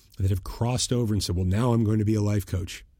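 A man's very fast, somewhat breathy voice, dark and mellow at a fairly low pitch with ordinary pitch variation, in a very clean recording with a silent background. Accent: American. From US Northeast (Boston). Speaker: podcast host, brand messaging strategist. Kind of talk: solo monologue commentary.

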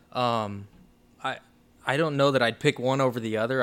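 With an American accent, a man talks at a fairly quick pace in a plain, everyday voice of medium pitch. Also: very clean recording, silent background. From Oklahoma and the Philippines. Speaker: basketball coach and charity director. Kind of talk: interview.

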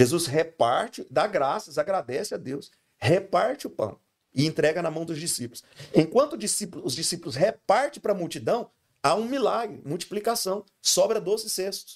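High male speech at a moderate pace, full of very wide pitch swings. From Brazil, Goiás (Goiânia). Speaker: pastor. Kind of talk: casual chat.

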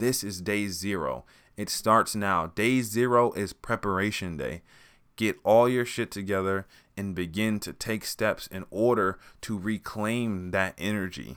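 A man with an American accent speaks quietly at a fairly slow pace, with a fairly low pitch and ordinary pitch variation. The recording is very clean, with a silent background. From US West Coast. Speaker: podcast host. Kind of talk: motivational monologue. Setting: recorded late at night. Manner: quiet, low-volume.

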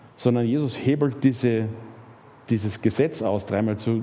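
With a dark, mellow tone, the man's voice sits at a medium pitch. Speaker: preacher. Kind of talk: sermon. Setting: church. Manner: animated, storytelling with rhetorical questions and emphasis; conversational, with fillers and repetitions.

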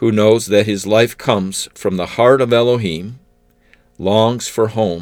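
In a very clean recording with a silent background, a man with a fairly low pitch speaks in an unremarkable speaking voice at a fairly slow pace with ordinary pitch variation. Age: 50s. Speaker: podcast preacher. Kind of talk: sermon.

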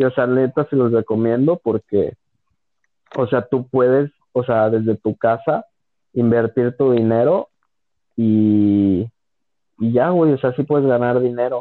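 A man at a medium pitch with fairly even intonation and very even loudness, at a fairly slow pace with long, frequent pauses. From Mexico, León, Guanajuato. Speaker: podcast host. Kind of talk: casual chat.

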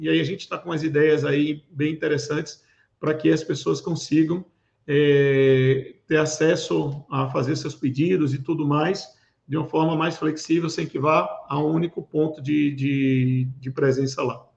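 Somewhat breathy and fairly high-pitched, a man speaks at a fairly slow pace with monotone, flat intonation. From Recife, Pernambuco, Brazil. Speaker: cybersecurity manager and event organizer. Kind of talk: interview. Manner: hesitant with fillers.

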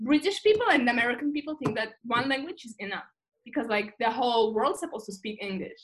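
With a Russian accent, a woman speaks at a very fast pace, high in pitch, with lively intonation and big swings in loudness. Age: 20s. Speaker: guest. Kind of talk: casual chat. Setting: video call.

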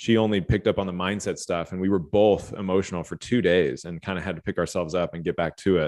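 A man with an American accent talks very fast at a very deep, low pitch with fairly even intonation. The sound is dry and close, with no echo and a quiet background. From Los Angeles, later Austin, Texas. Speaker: life and fitness coach. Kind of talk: casual interview chat.

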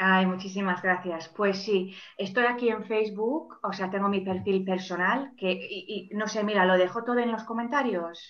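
Audible room echo surrounds a woman's voice. She speaks at a medium pitch with fairly even intonation. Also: moderate pace. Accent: English. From England, Manchester. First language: English (speaking Spanish). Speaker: life and career coach. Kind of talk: interview. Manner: halting, many repeated words.

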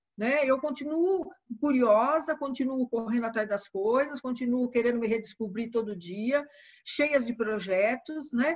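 A woman speaks at a fairly slow pace. Her voice is high in pitch with ordinary pitch variation. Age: 60s. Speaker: retired educator and writer. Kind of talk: interview. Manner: halting.

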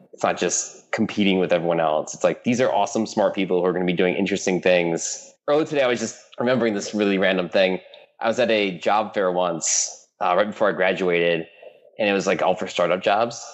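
This man talks at a very fast pace in a Midwestern American accent, with ordinary pitch variation. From US Midwest, Michigan. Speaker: app founder. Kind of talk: interview.

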